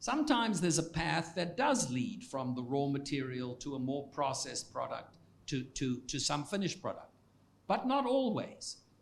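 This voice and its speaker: This man has a South African accent and a fairly high pitch. His pitch swings very widely, and he talks at a moderate pace. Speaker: economics professor. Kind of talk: Q&A after a public lecture. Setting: lecture hall with audience. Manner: halting with many repetitions.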